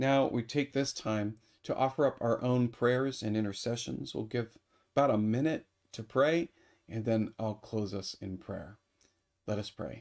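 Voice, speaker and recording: Over a quiet background, a man speaks at a fairly slow pace in a warm tone, his medium pitch showing ordinary variation. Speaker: priest. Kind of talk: fervent prayer, earnest and heartfelt, addressed to God; morning prayer service, liturgical reading and prayer. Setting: online video broadcast. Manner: earnest, warm, slow and pausing with fillers. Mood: calm, reverent. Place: home room.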